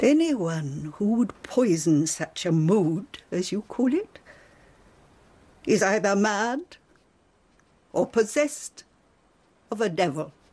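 A put-on character voice, slow and slightly mellow, with a slightly husky edge, big pitch swings and long, frequent pauses. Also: woman, medium pitch for a woman.

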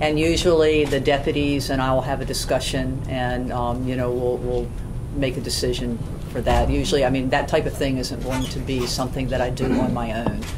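A woman speaks fairly quickly. Noticeable background noise can be heard. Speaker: police chief. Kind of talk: formal public meeting report. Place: meeting room.

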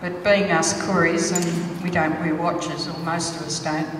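Over light background noise, a woman speaks at a fairly low pitch and a fairly slow pace. Her intonation stays fairly even, and the room echo is audible. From Sydney, Australia (Alexandria). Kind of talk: ceremonial welcome speech. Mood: proud, warm, measured. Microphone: handheld.

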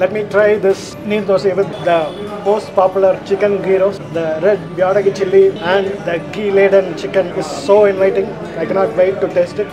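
Over clear background music, a man with a high pitch speaks at a moderate pace in a monotone, flat intonation. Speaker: food reviewer. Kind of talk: food review vlog commentary. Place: cafe.

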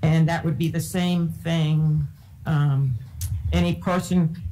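Somewhat breathy and dark, mellow in tone, a woman speaks at a very deep, low pitch. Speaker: school board chair. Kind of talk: public meeting. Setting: public meeting room with audience. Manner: formal. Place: meeting room. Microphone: podium.

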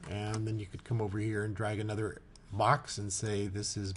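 With audible room echo and noticeable background noise, a man speaks at a moderate pace at a fairly low pitch. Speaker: software tutorial maker. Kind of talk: tutorial. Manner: casual, halting with fillers.

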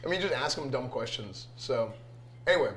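A man talks at a very fast pace. Light background noise sits behind him. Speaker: streamer. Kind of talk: casual chat. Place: kitchen.

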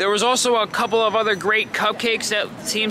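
With an American accent, a man projects a raised, high-pitched voice in a dry recording with no echo but noticeable background noise. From New York. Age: 20s. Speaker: vlogger. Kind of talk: casual vlog narration. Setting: outdoors and around the city while filming. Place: street. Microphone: phone near.

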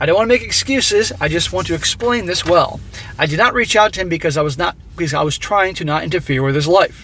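A man talks at a very fast pace with lively intonation. The sound is dry with no echo, and music plays in the background. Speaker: commentary vlogger. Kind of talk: casual commentary, partly reading a story aloud. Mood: judgmental, exasperated. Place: car.

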